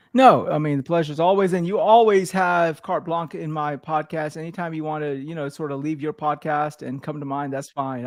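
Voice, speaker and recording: With a normal speaking voice, a man at a fairly high pitch moves at a fairly quick pace with hardly any pauses and ordinary pitch variation. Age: 40s. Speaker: podcast host. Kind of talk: casual chat. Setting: live stream.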